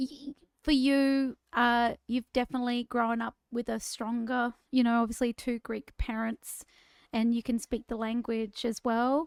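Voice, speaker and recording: With an Australian accent, the speaker goes at a fairly slow pace in a monotone, flat intonation, on a very clean recording with a silent background and a dry, close sound with no echo. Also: woman, high pitch for a woman. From Queensland, Australia (Bundaberg). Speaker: singer and podcast co-host, former school teacher. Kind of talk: casual chat.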